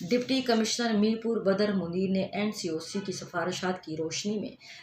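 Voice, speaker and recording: The pitch moves up and down in a normal way. Background noise is clearly audible. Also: woman. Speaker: radio news reader. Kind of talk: radio news bulletin. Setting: studio.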